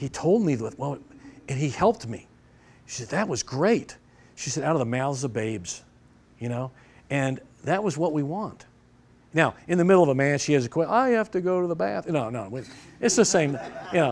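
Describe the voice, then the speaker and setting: In a very clean recording with a silent background, a man with an American accent speaks at a fairly quick pace and fairly high pitch. His pitch swings very widely, and he takes long, frequent pauses. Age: 60s. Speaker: judo instructor and referee. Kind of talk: seminar lecture. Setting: dojo seminar with audience. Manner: conversational, with false starts.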